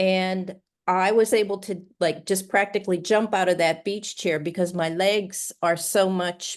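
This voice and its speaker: Her voice sits at a medium pitch with a monotone, flat intonation. The woman barely pauses, and the background is quiet. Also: fairly slow pace. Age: 70s. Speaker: fitness coaching client. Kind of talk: testimonial interview answer. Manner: casual, hesitant.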